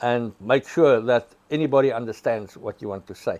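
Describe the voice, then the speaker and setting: A man speaks with a South African accent. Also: dry, close sound with no echo. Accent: Afrikaans South African English. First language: Afrikaans. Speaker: prosecutor. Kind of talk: storytelling interview.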